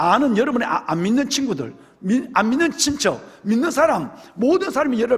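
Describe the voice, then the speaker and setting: At a moderate pace, a man speaks in an animated tone at an extremely high pitch with very wide pitch swings. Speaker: pastor. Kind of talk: sermon. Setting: church.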